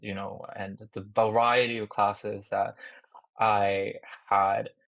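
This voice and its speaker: A man speaks with a Japanese accent. His pitch sits fairly low. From Japan, with teen years in Shanghai. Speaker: startup founder. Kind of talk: interview.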